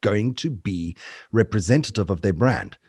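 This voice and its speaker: Somewhat breathy and with lively intonation, a man speaks at a moderate pace in a very clean recording with a silent background. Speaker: voice artist. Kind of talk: interview.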